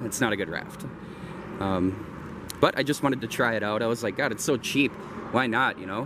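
At a moderate pace, a man speaks with ordinary pitch variation over noticeable background noise. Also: dry sound with no echo. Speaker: outdoor vlogger. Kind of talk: casual vlog chat. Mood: relaxed, amused. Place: waterside. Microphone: phone near.

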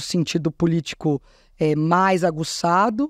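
Moving at a fairly slow pace, a woman's voice sits very deep and low in pitch. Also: quiet background, dry sound with no echo. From São Paulo, Zona Norte; São Paulo. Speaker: state culture secretary; interview guest. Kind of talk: interview. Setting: studio. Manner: talkative. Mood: relaxed, conversational. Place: studio. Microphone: studio mic.

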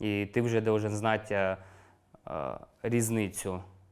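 In a very clean recording with a silent background, a man speaks in a monotone, flat intonation at a fairly low pitch. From eastern Ukraine, Luhansk region. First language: Russian (speaking Ukrainian). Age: 30s. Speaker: war veteran. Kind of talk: interview testimony. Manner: casual, colloquial.

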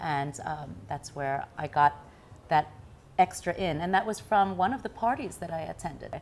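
With light background noise behind her, a woman with an American accent speaks at a moderate pace in a fairly low voice, her intonation lively and touched with vocal fry. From US and Taiwan, international upbringing; US. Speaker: news anchor and author; news anchor. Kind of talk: tv interview. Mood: cheerful, animated. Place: home room. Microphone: lapel.

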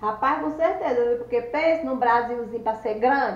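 Audible room echo surrounds a woman speaking at a high pitch with a Cearense accent. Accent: Cearense Northeastern Brazilian. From Ceará, Brazil. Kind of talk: casual talk to camera. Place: home room. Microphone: phone near.

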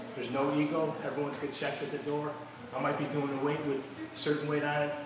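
A man rushes through his words at a very fast pace, with audible room echo and noticeable background noise in the recording. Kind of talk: testimonial interview answer. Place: gym.

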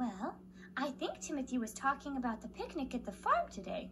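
Over clear background noise, a cartoonish character voice that sounds female talks at a high pitch and a fairly quick pace. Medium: puppet.

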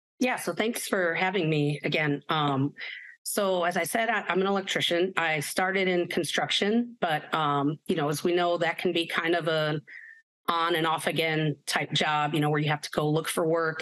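A woman with an American accent and a normal speaking voice talks at a moderate pace, her pitch fairly low with ordinary variation and her loudness very even. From Chicago, southeast side. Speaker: union electrician. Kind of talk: panel discussion.

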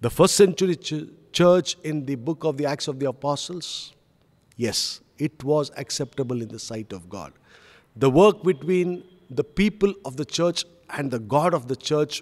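At a moderate pace, a man talks with ordinary pitch variation and big swings in loudness. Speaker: pastor. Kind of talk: sermon. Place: church. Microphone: podium.

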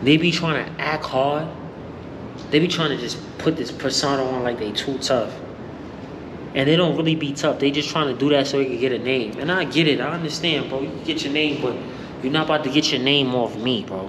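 Over noticeable background noise, the man talks fairly quickly, his intonation fairly even. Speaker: vlogger. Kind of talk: casual vlog chat. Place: hall. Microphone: phone near.

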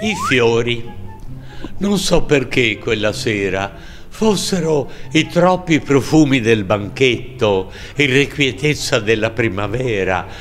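Over faint background music, a man speaks at a very slow pace with lively intonation and long, frequent pauses. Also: medium pitch for a man. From Tuscany. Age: 80s+. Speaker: comic stage actor. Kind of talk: poetry reading. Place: hall. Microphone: lapel.

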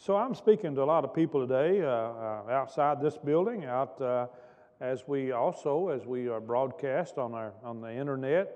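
The background stays quiet. A man's speech moves at a moderate pace, his pitch varying in an ordinary way. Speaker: pastor. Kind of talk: sermon. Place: church. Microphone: podium.

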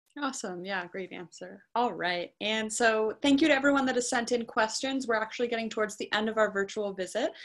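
A woman with an American accent speaks at a fairly quick pace with hardly any pauses, in a fairly high voice with ordinary pitch variation, against a quiet background. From Northern California. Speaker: moderator of a university virtual visit; student ambassador moderator. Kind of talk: presentation and Q&A moderation. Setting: video call. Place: home room. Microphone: webcam.

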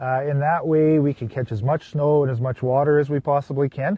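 A man talks at a fairly quick pace in a somewhat breathy voice with fairly even intonation, and the sound is dry with no echo. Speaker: guest. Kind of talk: interview answer. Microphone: lapel.

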